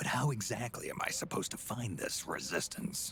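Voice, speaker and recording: Using a put-on character voice, a man speaks at a medium pitch and a fairly quick pace. Clear background noise can be heard. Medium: video game. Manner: gruff, terse.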